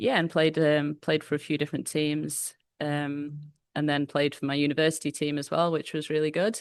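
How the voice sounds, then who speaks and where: A woman with a very deep, low voice and a slight northern English accent speaks at a moderate pace. Her intonation is monotone and flat against a quiet background. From northwest England. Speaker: football coach. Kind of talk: interview.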